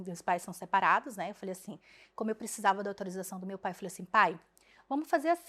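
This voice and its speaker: In an ordinary speaking voice, the speaker talks with lively intonation, recorded very cleanly against a silent background with a dry, close sound and no echo. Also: woman. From Brazil, Bahia. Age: 20s. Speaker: dentist. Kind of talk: personal story vlog. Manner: casual, conversational.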